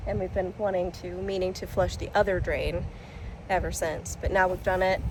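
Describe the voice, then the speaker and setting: A woman speaks at a moderate pace. Audible room echo carries her voice. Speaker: lifestyle vlogger. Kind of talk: casual vlog narration. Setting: at home. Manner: loud.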